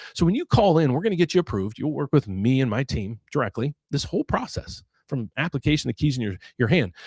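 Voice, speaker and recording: A man with an American accent and a plain, everyday voice, at a medium pitch and a fairly quick pace, in a very clean recording with a silent background and a dry, close sound with no echo. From West Virginia, US. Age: 60s. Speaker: mortgage loan officer and finance YouTuber. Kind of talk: live Q&A market commentary with self-promotion. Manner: casual, repetitive with false starts.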